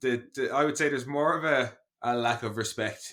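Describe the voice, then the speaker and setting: In an Irish accent, the speaker uses a bright, sharp tone at a moderate pace. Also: man. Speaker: podcast co-host. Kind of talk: casual chat. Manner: animated.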